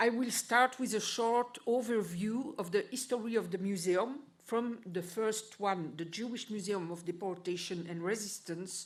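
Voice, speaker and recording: Amid audible room echo, a woman at medium pitch talks with hardly any pauses. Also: ordinary pitch variation, moderate pace. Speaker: historian. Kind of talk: conference presentation. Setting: conference hall.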